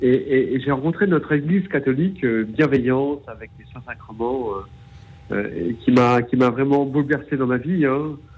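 At a fairly slow pace, a man speaks at a medium pitch with ordinary pitch variation and big swings in loudness. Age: 40s. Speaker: caller. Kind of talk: testimony. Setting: phone call. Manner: halting, repeating words.

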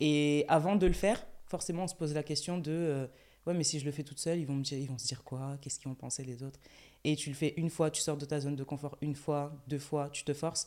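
A woman talks very fast in a very deep, low pitch with a dark, mellow tone. Her intonation stays fairly even. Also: very clean recording, silent background. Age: 20s. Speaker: influencer and content creator. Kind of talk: casual chat.

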